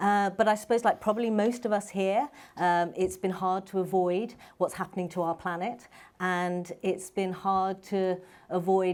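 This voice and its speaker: A woman with a London accent and fairly even intonation, on a very clean recording with a silent background. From England, London. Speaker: medical doctor and founder. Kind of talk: panel talk.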